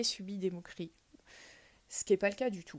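A woman speaks at a medium pitch. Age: 30s. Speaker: podcast guest sharing personal experience. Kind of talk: personal testimony interview. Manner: hesitant, frequent fillers and repetitions.

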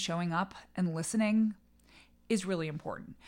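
A woman with an American accent speaks at medium pitch and a moderate pace, with ordinary pitch variation, in an unremarkable speaking voice. The recording is very clean, with a silent background. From New England, suburban Boston. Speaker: political communications strategist. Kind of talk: interview.

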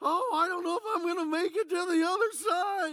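Strained and extremely high, a put-on character voice moves at a fairly quick pace. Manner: fearful, worried.

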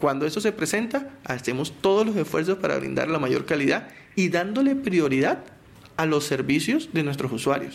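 A man speaks at a fairly high pitch and a moderate pace. His intonation is lively and his loudness very even. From Colombian Caribbean coast, Barranquilla. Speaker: telecom company spokesperson. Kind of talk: technical interview.

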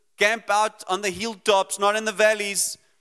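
Raising and projecting his voice, a man speaks fairly slowly at a high pitch in a bright, sharp tone. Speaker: preacher. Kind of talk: sermon.

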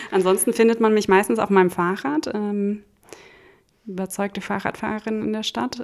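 Moving at a fairly quick pace, a woman with an ordinary speaking voice talks at a medium pitch with ordinary pitch variation. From Hesse, Germany (small village). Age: 30s. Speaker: startup accelerator program head. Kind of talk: interview. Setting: living room recording.

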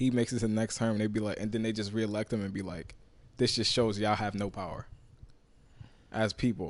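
Speaking very fast but with long, frequent pauses, a man with a New York accent keeps a monotone, flat intonation at a fairly low pitch. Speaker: podcast co-host. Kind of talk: casual group chat.

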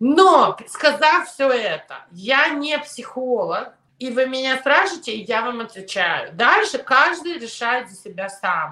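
Speaking at a very slow pace, a woman uses a raised, projected voice at a high pitch with very wide pitch swings. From Soviet Union, raised in New York. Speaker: immigration lawyer. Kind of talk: interview.

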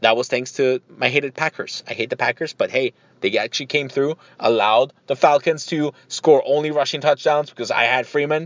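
A normal speaking voice at a moderate pace. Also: man. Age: 30s. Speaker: podcast host. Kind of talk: casual solo monologue.

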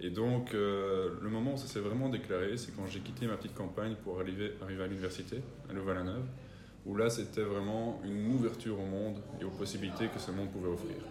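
Amid noticeable background noise and audible room echo, a man talks at a fairly quick pace with fairly even intonation and a fairly low pitch. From Belgium, rural area near the three-border point (German-speaking community). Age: 20s. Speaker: entrepreneur.

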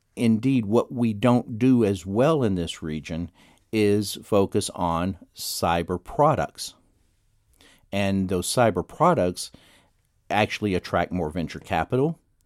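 A man with an unremarkable speaking voice, fairly low pitch and lively intonation at a fairly slow pace, in a dry, close sound with no echo and a very clean recording with a silent background. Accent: American. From Texas, Dallas area. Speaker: economist and public policy professor. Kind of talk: radio interview.

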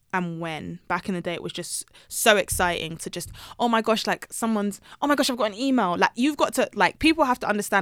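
A woman with a London accent speaks very fast with lively intonation, dry and close with no echo on a very clean recording with a silent background. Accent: British English (London). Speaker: personal finance blogger. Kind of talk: casual interview chat. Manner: animated.

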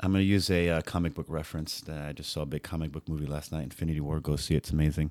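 A man with a New York accent speaks very fast in a very deep, low monotone, with hardly any pauses. The recording is very clean, with a silent background. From New York City. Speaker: futsal organizer. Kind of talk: casual chat.

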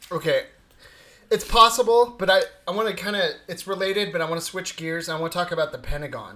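Speech comes at a very fast pace in a raised, projected voice. Pitch variation is ordinary. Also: man, high pitch for a man. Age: 20s. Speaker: podcast co-host. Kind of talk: casual chat.

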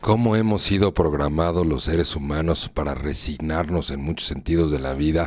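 This man talks at a fairly slow pace with a very deep, low pitch. His pitch varies in an ordinary way. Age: 50s. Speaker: radio host, personal growth speaker. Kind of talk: live radio talk on personal growth. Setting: live internet radio studio.

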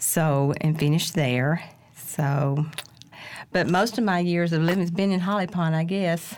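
A woman speaks with an Alabama accent at a fairly slow pace. Her fairly low voice shows ordinary pitch variation and very even loudness. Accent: US Southern (Alabama). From Decatur, Alabama. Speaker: teacher. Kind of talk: casual interview.

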